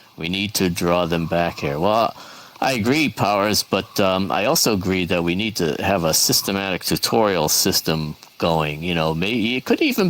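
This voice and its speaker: A man talks at a moderate pace in a very deep, low pitch with ordinary variation. Background noise is noticeable. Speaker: event host in virtual world. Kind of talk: casual group discussion. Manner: hesitant, many fillers.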